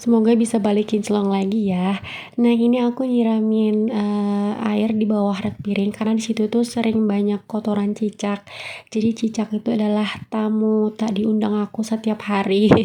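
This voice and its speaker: A woman speaks at a moderate pace with a fairly high pitch and a dark, mellow tone. Her loudness stays very even and her intonation is monotone and flat. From Medan, North Sumatra. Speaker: housewife vlogger. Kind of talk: vlog voiceover narration. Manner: casual, with frequent fillers.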